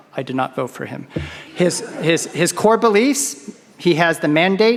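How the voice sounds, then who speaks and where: Noticeable noise fills the background. The voice carries an American accent. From United States. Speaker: keynote speaker. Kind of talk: keynote speech.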